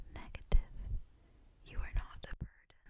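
A woman whispers in a gentle tone. Her pace is fairly slow. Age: 20s. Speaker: ASMR creator. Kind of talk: ASMR personal attention chit-chat. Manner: soft-spoken, gentle, reassuring. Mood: reassuring, lightly playful. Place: home room. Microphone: studio mic.

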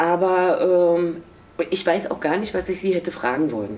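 Speaking at a fairly slow pace, a woman uses a fairly low voice with ordinary pitch variation. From East Berlin, Germany. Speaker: former East German youth detainee, contemporary witness. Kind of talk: interview answer. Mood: reflective, emotional memories. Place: office.

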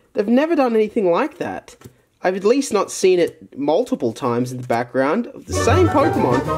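Music in the background behind a man speaking at a moderate pace. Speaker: YouTuber opening card packs. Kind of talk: casual unboxing commentary. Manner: animated.

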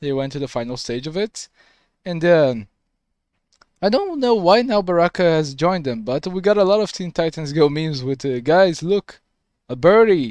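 A man with lively intonation at a moderate pace, dry sound with no echo and a quiet background. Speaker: reaction video creator. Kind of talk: casual reaction commentary. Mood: curious, mildly confused. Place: home room. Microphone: headset.

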